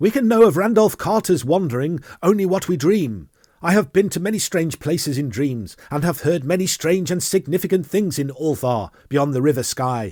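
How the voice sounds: On a very clean recording with a silent background, a man puts on a shrill character voice at a fairly high pitch, with lively intonation and a moderate pace.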